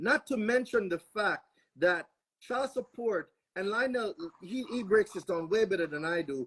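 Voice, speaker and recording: Speaking at a moderate pace with a Jamaican accent, this voice is heard over a quiet background. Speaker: panelist on legal topics. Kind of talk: panel discussion.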